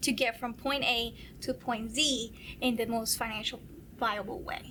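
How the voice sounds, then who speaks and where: A woman with a Spanish accent speaks fairly slowly in a fairly high pitch with a bright, sharp tone and ordinary pitch variation. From San Juan, Puerto Rico. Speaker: accountant. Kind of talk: interview answer.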